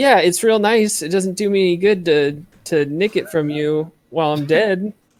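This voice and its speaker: A put-on character voice at middle pitch, on a very clean recording with a silent background. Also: moderate pace. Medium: actual play. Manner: casual, joking.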